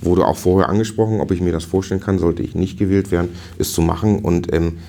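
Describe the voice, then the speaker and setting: The speech comes at a very fast pace. Its intonation stays fairly even. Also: man. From northern Germany (Dithmarschen). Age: 40s. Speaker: district fire brigade chief. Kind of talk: interview.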